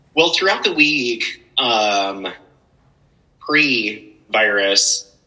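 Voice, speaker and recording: This man talks at a very slow pace with an American accent. His pitch sits in the medium range. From Spokane area, Washington, US Pacific Northwest. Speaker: coffee company director. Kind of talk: casual chat. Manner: animated.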